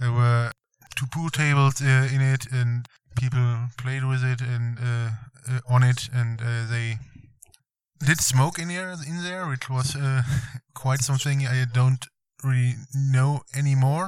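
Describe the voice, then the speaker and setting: A man with a German accent, fairly slow and fairly even in intonation, with long, frequent pauses. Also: medium pitch for a man. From Germany. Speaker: visiting tourist on road trip. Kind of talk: casual interview chat. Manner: halting, many fillers.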